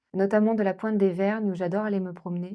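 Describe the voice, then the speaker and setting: Her tone is dark and mellow, at medium pitch for a woman. She keeps a fairly even intonation against a quiet background. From Normandy, France. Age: 30s. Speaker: shop worker and writer. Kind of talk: campaign candidate introduction to camera.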